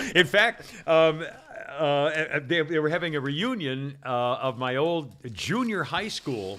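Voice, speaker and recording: Very slowly and with lively intonation, a man with an American accent talks at a fairly high pitch over noticeable background noise. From upstate New York. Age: 70s. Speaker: podcast host. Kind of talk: casual chat. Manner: halting, many fillers.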